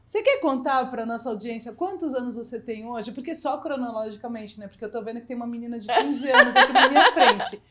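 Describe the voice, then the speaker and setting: A woman speaks very fast in a high voice with lively intonation and hardly any pauses. Noticeable noise runs in the background. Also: big swings in loudness. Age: 50s. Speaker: podcast host. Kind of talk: interview.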